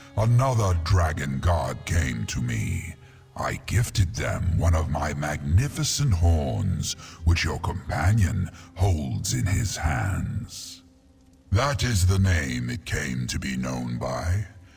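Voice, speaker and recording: Clear music plays behind a man doing a put-on character voice, very deep and low in pitch, at a fairly slow pace. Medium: video game. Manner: grand, slow, lordly.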